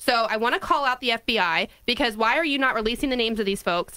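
There is a quiet background. A woman is speaking. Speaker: radio co-host. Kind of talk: political talk radio. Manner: casual. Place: studio. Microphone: studio mic.

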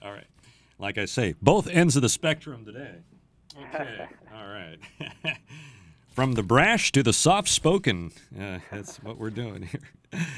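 A man of medium pitch speaks at a fairly slow pace, leaving long, frequent pauses. His pitch swings very widely and his loudness shifts a great deal, in dry sound with no echo. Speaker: radio morning show host. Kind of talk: radio interview host. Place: studio.

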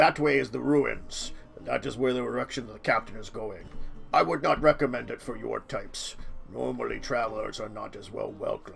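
Against clear background noise, a man does a put-on character voice at a moderate pace. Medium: actual play. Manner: cautious, warning; clipped, blunt, matter-of-fact.

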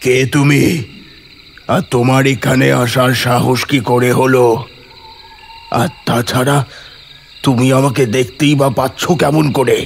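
A man's put-on character voice at a medium pitch and a fairly slow pace. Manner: haughty, imperious.

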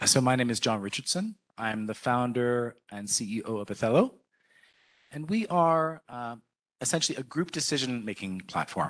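A man with a Canadian accent and an unremarkable speaking voice, medium pitch, lively intonation and a moderate pace, over a quiet background. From Canada. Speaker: tech company founder; panelist. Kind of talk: panel presentation. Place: hall. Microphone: handheld.

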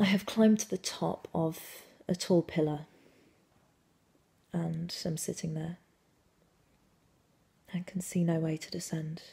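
Somewhat breathy and dark, mellow in tone, a woman speaks at a fairly slow pace with fairly even intonation and long, frequent pauses. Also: fairly low pitch for a woman. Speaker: actor. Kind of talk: dramatic monologue performance. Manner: intimate, confessional. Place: home room. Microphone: phone near.

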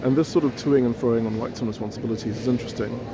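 A man's voice has a dry sound with no echo, set against loud background noise. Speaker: conference attendee commenting. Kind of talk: commentary. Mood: thoughtful, slightly amused. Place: hall. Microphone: phone near.

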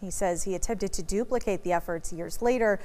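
This woman has an unremarkable speaking voice. She talks at a fairly quick pace with lively intonation. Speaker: news reporter. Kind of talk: TV news narration.

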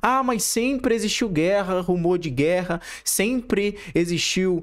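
Here a man talks at a moderate pace. Behind him, the background is quiet. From Rio de Janeiro state, Brazil. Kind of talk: reaction commentary with preaching. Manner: halting, many repetitions and fillers. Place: home room. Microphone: studio mic.

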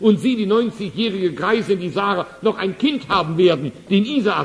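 With noticeable background noise around him, a man talks in a high voice with ordinary pitch variation. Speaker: evangelist, preacher. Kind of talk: sermon. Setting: church hall, live audience.

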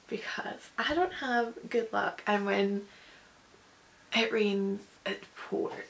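Speaking very slowly, a woman leaves long, frequent pauses. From Scotland. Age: 20s. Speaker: vlogger. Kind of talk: casual talk to camera. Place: home room. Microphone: phone near.

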